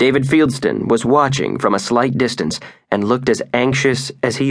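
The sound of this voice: Just an unforced reading voice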